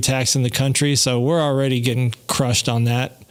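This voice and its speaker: Here is a man with an unremarkable speaking voice. He talks fairly quickly at a fairly high pitch. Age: 50s. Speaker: podcast host. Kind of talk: casual chat. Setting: live stream.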